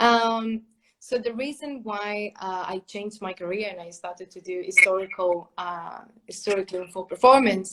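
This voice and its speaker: A woman with a Spanish accent talks at a moderate pace in a medium pitch, her intonation fairly even. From Spain. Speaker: clarinetist and music teacher. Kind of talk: interview. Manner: hesitant, many fillers.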